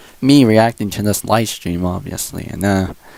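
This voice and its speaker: Soft-spoken, a man talks at fairly low pitch with a dark, mellow tone. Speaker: gaming streamer. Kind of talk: live stream reaction chat. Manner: quiet, talking softly; halting, many fillers.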